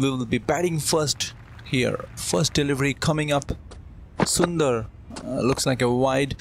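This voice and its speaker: Fairly slow, fairly high male speech with normal pitch movement over clearly audible background noise. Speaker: gaming YouTuber doing his own cricket commentary. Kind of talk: live sports commentary over video game play, self-recorded. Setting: voiceover recorded over gameplay, edited. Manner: shifts to casual chatty explanation between play.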